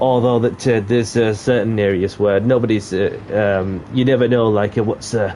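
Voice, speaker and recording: A man speaks at a moderate pace with a medium pitch. His intonation is monotone and flat, with noticeable background noise. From Yorkshire. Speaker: gaming streamer. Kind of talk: live gameplay commentary. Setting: live stream. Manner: hesitant, many fillers.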